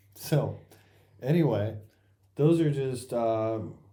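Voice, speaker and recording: With audible room echo around him, a man speaks in a dark, mellow tone. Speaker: volunteer firefighter podcast co-host. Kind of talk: casual chat. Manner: slow, winding down.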